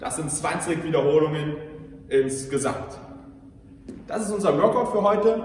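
Over light background noise and audible room echo, a man talks with lively intonation. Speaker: fitness coach. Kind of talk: workout instruction. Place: gym. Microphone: camera far.

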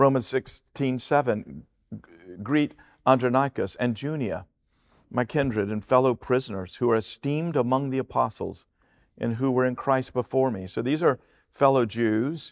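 A man speaks with ordinary pitch variation and a moderate pace over a quiet background. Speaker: pastor, preacher. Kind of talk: sermon, Bible teaching to a congregation. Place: stage. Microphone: headset.

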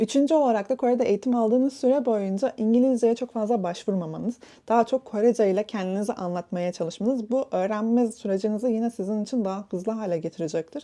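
A woman's fairly high, dark and mellow voice at a very fast pace, hardly any pauses, ordinary pitch variation, over a quiet background. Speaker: content creator. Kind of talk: advice monologue.

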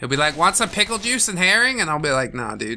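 A raised, projected voice moves at a fairly quick pace with very wide pitch swings. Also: man. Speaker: gaming video creator. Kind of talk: casual let's play commentary. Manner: jokey, laughs often.

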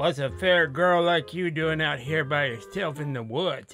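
A man's put-on character voice with a Yorkshire-free, fairly high pitch, lively intonation and a moderate pace, set against clear background music. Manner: leering, creepy.

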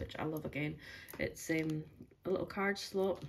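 A woman with a Highland Scottish accent speaks at a moderate pace over light background noise. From Scottish Highlands. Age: 40s. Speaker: budgeting vlogger. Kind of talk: casual vlog talk. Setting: at home on sofa, partner beside her. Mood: relaxed, upbeat. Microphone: phone near.

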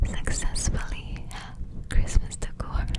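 A woman whispers in a breathy voice at a very slow pace. Loud background noise is present. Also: dry sound with no echo. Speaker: ASMR creator. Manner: close breathy ASMR whisper. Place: home room. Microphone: studio mic.

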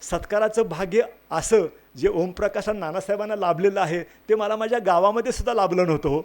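A high-pitched man's voice with ordinary pitch variation on a very clean recording with a silent background. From Maharashtra, Sangli area. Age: 60s. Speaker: retired senior administrator, village development worker. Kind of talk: speech at a felicitation ceremony.

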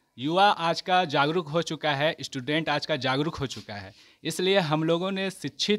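The man's voice sits high in pitch. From Bihar, India. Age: young. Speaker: student voter. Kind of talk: vox pop interview; interview answer. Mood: earnest, celebratory. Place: street. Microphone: handheld.

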